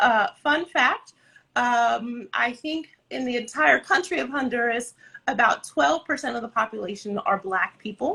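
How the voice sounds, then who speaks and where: Her intonation is lively and her pitch high for a woman. This woman speaks at a fairly slow pace. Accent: Californian. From Southern California, Santa Ana. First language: Spanish. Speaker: dance company director. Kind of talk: interview.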